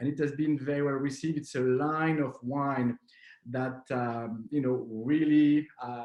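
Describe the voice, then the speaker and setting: A man with a French accent at a moderate pace, with ordinary pitch variation. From southwest France. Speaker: wine importer. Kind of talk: online wine masterclass. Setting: video call. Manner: halting, many fillers.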